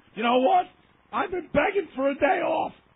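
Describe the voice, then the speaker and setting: A man shouts loudly at a moderate pace, his pitch extremely high. His intonation is lively. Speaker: sports radio host. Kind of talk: heated rant. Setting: radio studio. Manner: loud, yelling.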